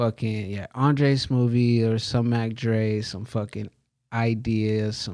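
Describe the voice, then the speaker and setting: In a very clean recording with a silent background, a man with an American accent speaks very slowly at a medium pitch, his tone dark and mellow and his intonation monotone and flat. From small town in the northern US. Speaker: hip hop artist and filmmaker. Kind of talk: casual chat.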